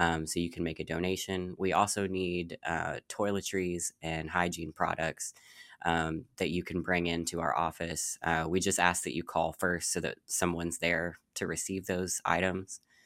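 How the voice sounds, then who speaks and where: At a moderate pace with hardly any pauses, a man with a very deep, low pitch speaks in a monotone, flat intonation, in a very clean recording with a silent background and a dry, close sound with no echo. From Louisville, Kentucky. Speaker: nonprofit representative. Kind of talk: interview.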